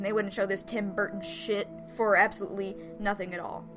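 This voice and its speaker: A woman speaks at a medium pitch in an animated tone. Music plays in the background. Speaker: video game reviewer. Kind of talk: game review commentary.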